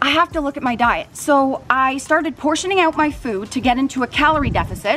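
A woman speaks at a fairly quick pace in a high pitch, with light background noise. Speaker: fitness vlogger. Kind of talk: casual vlog chat. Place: garden. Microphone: phone near.

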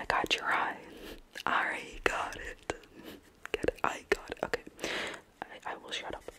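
A soft-spoken woman whispers at a fairly slow pace with big swings in loudness amid noticeable background noise. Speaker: ASMR creator. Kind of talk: soft-spoken ASMR roleplay chat. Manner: soft, close ASMR whisper with a giggle. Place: home room. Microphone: earbuds.

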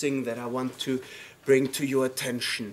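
Here we hear a man. His speech moves at a moderate pace. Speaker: lecturer. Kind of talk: lecture. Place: classroom. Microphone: camera far.

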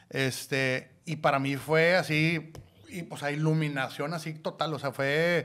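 A man talks at a fairly slow pace. His fairly high voice is monotone and flat. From Mexico, Monclova (Coahuila); Coahuila, Mexico. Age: 40s. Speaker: podcast co-host, father; podcast co-host. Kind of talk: casual chat. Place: studio. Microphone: studio mic.

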